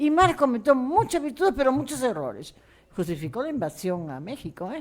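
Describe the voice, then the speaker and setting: A woman with a high voice talks at a fairly quick pace, her pitch swinging very widely and her loudness shifting a lot, on a very clean recording with a silent background. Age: 70s. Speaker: panelist, researcher. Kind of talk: panel discussion.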